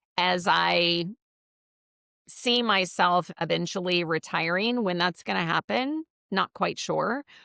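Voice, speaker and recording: Fairly slow, fairly low-pitched speech from a woman, bright and sharp in tone with vocal fry, in a dry, close sound with no echo on a very clean recording with a silent background. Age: 60s. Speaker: business coach and networking expert. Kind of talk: podcast interview. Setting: live video interview.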